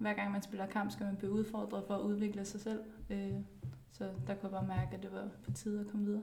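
A woman talks at a very fast pace amid noticeable background noise and audible room echo. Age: 20s. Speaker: professional footballer. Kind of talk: casual interview.

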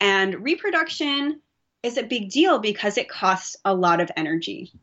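A woman at a medium pitch and a moderate pace. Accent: American. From US West Coast, Bay Area, California. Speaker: marine physiologist. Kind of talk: interview.

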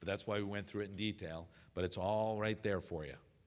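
A man with a fairly low pitch, a fairly quick pace and ordinary pitch variation, on a very clean recording with a silent background. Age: 50s. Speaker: urologist and medical professor. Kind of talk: lecture. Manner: halting, many filler sounds.

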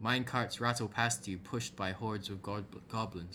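The voice reads in a natural manner.

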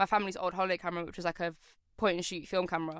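A woman's medium-pitched voice with a London accent in a very clean recording with a silent background. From London (born in Poland, moved at four). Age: 20s. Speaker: photographer. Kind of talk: casual interview chat.

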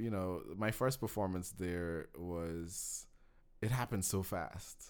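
Recorded very cleanly against a silent background, a man speaks at a fairly low pitch with ordinary pitch variation. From Guyana, Georgetown. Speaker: film student and cinematographer. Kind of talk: casual interview chat. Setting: livestreamed podcast studio.

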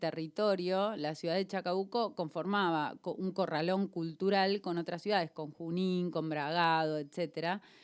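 In a very clean recording with a silent background, a woman uses a plain, everyday voice at medium pitch, with ordinary pitch variation and a fairly slow pace. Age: 40s. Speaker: radio host. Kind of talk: radio interview, casual chat. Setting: radio studio.

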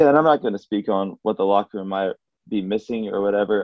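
Talking at a very fast pace, a man with an Alabama accent has a fairly low pitch. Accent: US Southern (Alabama). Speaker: college basketball player. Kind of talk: casual interview. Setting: conference call.

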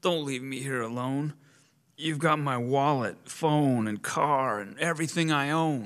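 A man speaks in a put-on character voice, fairly high in pitch and at a fairly slow pace. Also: ordinary pitch variation. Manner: pleading.

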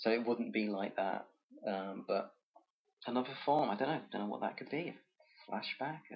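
At a moderate pace and a medium pitch, a man speaks with ordinary pitch variation and long, frequent pauses. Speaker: podcast host. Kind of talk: casual chat.

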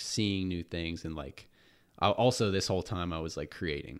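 A man's very deep, low voice at a fairly slow pace in a very clean recording with a silent background. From Morgantown, West Virginia. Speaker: YouTuber. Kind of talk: casual chat.

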